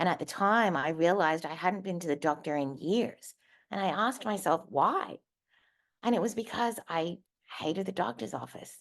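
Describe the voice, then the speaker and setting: A woman with an Australian accent, fairly low in pitch, lively in intonation, at a moderate pace over a quiet background. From Australia, Darwin. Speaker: motivational speaker. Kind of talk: personal testimony talk. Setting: virtual stage.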